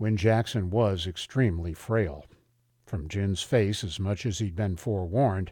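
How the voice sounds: Someone reads aloud in a natural voice.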